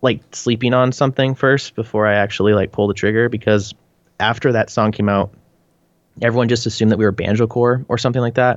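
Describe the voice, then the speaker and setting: This man has a plain, everyday voice at medium pitch. He moves at a fairly quick pace with fairly even intonation. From British Columbia, Canada. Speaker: band frontman. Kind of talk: casual interview chat.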